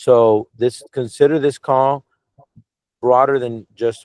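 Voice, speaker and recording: A man with an ordinary speaking voice talks at a fairly slow pace with fairly even intonation, in a dry, close sound with no echo. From Cuban American. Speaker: media company executive interviewing a director. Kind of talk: casual video call interview. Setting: video call.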